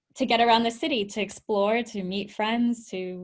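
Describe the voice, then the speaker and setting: At a moderate pace, a woman with a Canadian accent talks in a fairly high, somewhat breathy voice with ordinary pitch variation. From Canada, Vancouver. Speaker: tech entrepreneur and founder. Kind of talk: webinar presentation.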